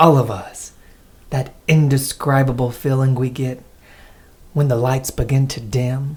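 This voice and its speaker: With an American accent, a man talks at a fairly slow pace in a somewhat breathy voice. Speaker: podcast host. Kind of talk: casual chat; scripted intro.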